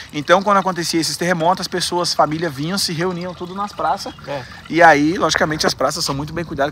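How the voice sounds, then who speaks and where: A man's high-pitched voice at a very fast pace with hardly any pauses, ordinary pitch variation, dry sound with no echo and light background noise. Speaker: travel vlogger. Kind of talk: casual vlog chat. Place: street. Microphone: phone near.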